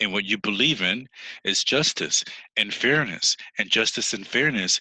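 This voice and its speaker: A man with an American accent speaks at a fairly slow pace in a bright, sharp tone, with a dry, close sound with no echo and a quiet background. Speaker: English teacher. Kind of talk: online lesson monologue. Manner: animated.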